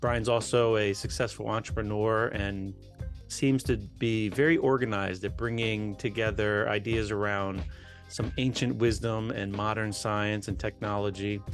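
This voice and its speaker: With music in the background, a man talks in a fairly low voice with fairly even intonation. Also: moderate pace. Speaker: podcast host. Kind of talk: podcast intro.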